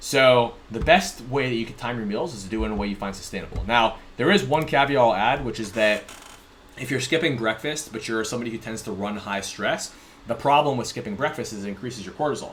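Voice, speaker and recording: Amid noticeable background noise, a man with an American accent talks at a very fast pace, with big swings in loudness. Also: medium pitch for a man, ordinary pitch variation. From US West Coast, San Diego. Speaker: fitness and nutrition coach. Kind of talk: tutorial.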